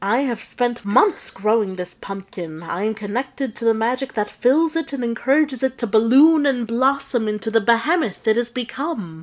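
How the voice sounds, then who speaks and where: A woman performs a put-on character voice at a fairly high pitch. She keeps a moderate pace with hardly any pauses. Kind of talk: storytelling narration. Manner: exasperated, wry.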